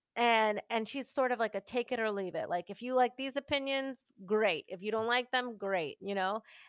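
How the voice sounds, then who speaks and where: In a normal speaking voice, a woman talks at a moderate pace with fairly high pitch and ordinary pitch variation, in a dry, close, very clean recording with a silent background and no echo. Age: 30s. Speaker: podcaster and podcast producer. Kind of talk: casual chat.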